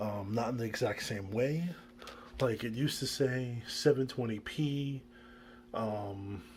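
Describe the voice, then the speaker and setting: A man's medium-pitched, somewhat breathy voice moves at a fairly slow pace with ordinary pitch variation. Long, frequent pauses break up his speech. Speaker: woodworker and small business owner vlogging. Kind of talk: casual vlog talk. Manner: hesitant, many fillers.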